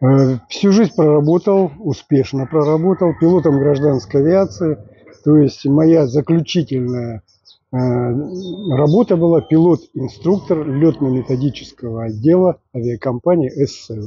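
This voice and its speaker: A man with a plain, everyday voice speaks at a fairly slow pace. His pitch is fairly high and his intonation lively. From Russia, Novosibirsk. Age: 60s. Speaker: retired pilot. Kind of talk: interview.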